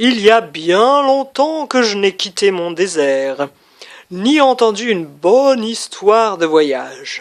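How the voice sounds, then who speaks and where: In a put-on character voice, a woman speaks at a very slow pace. Her pitch is fairly high and swings very widely. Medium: read story. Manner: gentle, courteous.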